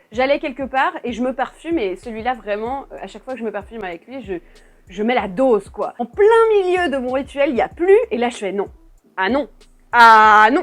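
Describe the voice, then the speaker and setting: Big swings in loudness mark this woman's high-pitched voice, with lively intonation and an animated tone. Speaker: perfume YouTuber. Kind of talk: casual vlog review. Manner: fast; animated, restless.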